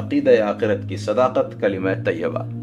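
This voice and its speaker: Music sounds behind a man as he talks. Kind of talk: religious audiobook reading.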